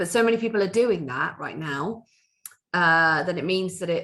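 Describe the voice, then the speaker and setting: This loud voice moves at a fairly quick pace, with a bright, sharp tone and ordinary pitch variation. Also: woman. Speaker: spiritual workshop leader. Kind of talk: workshop talk. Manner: halting.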